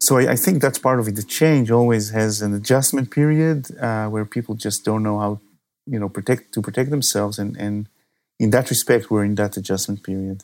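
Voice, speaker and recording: Speaking fairly quickly in a normal speaking voice, a man with fairly low pitch and ordinary pitch variation is heard on a very clean recording with a silent background. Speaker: cybersecurity company executive. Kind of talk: interview.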